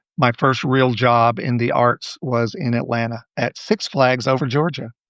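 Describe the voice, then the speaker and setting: A man with a medium pitch speaks in fairly even intonation. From US South, Alabama. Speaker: director and choreographer. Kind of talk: interview.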